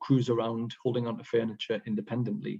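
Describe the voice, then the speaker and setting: A man talks at a very fast pace with a medium pitch. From northern England, Sunderland/Newcastle area. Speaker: pediatric emergency medicine consultant. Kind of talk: case presentation to an international audience. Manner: hesitant, frequent fillers.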